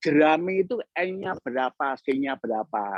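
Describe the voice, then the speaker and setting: The man's pitch is fairly high. He talks at a very slow pace. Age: 70s. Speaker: mushroom entrepreneur. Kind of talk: guest lecture. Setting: online lecture. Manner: halting, with many fillers.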